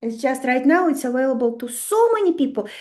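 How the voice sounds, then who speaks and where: A woman with a Russian accent speaks at a high pitch with very wide pitch swings, and the room echo is audible. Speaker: astrology teacher. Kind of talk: online webinar lecture. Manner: animated.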